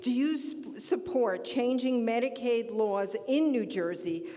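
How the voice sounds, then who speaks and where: A loud woman at a high pitch and very slow pace, with noticeable background noise. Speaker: audience member asking question. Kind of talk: audience question.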